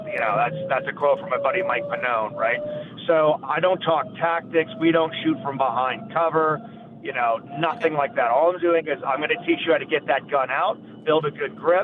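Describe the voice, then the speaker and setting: Over music in the background, a man talks at a moderate pace with a fairly high pitch and ordinary pitch variation. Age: 50s. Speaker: firearms trainer. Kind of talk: interview. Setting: phone call.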